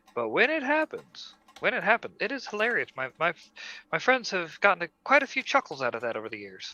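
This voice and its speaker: A man with a slight Southern US accent in a dry, close sound with no echo. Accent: slight southern drawl on certain words. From Germany, later US South. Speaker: animator. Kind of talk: casual chat. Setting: live stream.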